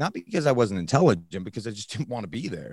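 Vocal fry marks a man's voice with very wide pitch swings, recorded dry and close with no echo. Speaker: fitness coach in recovery. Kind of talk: interview storytelling. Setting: remote recording.

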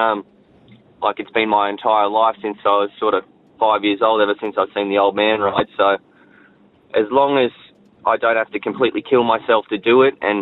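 A man speaks with an Australian accent at a fairly quick pace. His fairly low pitch holds a monotone, flat intonation. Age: 30s. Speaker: jockey. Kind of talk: radio interview.

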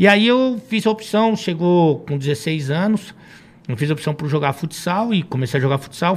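A man talks at a moderate pace with lively intonation and a fairly high pitch. It is an ordinary speaking voice. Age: 40s. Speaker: football commentator and former futsal coach. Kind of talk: casual chat.

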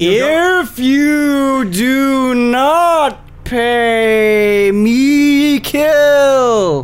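Someone does a put-on character voice at a high pitch, with light background noise behind it. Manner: threatening, demanding.

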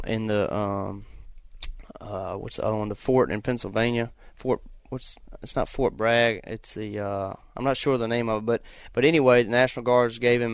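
Relaxed in tone, a man talks with fairly even intonation in a very clean recording with a silent background. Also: medium pitch for a man, moderate pace. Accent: Virginia. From US South, Virginia. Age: 20s. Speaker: race car driver and hunter. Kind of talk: casual interview chat on an outdoors radio show. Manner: relaxed, with frequent filler words (uh, um, you know).

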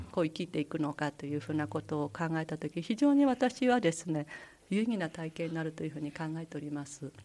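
A woman's very deep, low voice at a fairly quick pace, with lively intonation. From Japan, Aomori Prefecture (Misawa). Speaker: school principal, language education specialist. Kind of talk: radio interview. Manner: formal.

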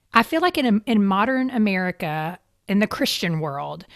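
A woman at medium pitch with a Kentucky accent, lively intonation and a moderate pace, in a dry, close sound with no echo on a very clean recording with a silent background. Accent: Kentucky Southern US. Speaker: podcast host. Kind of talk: interview.

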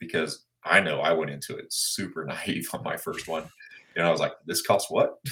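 A man with a Midwestern US accent, at a moderate pace. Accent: US Midwest. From Kansas and western Missouri. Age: 40s. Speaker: land broker. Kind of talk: interview.

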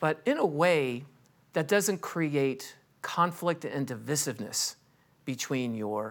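A man with a Californian accent speaks at a fairly slow pace, his pitch fairly high. His intonation is lively, with vocal fry. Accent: Californian American. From Los Angeles. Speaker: estate planning attorney. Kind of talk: interview.

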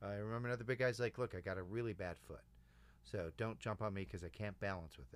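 A man with an American accent speaks very fast in a fairly low pitch. His intonation is lively. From Chicago. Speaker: improv coach. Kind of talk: casual chat. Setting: studio.

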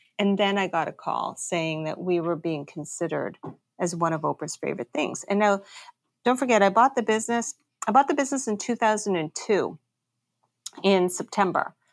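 With lively intonation and medium pitch, a woman speaks at a moderate pace in a dry, close sound with no echo. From Canada. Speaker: entrepreneur, bakery owner. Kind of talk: interview.

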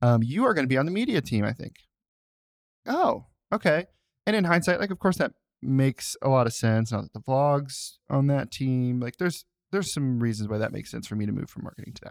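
Recorded very cleanly with a silent background and a dry, close sound with no echo, a man with an unremarkable speaking voice talks at a fairly quick pace, medium in pitch with lively intonation. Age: 30s. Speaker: podcast co-host. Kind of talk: casual chat.

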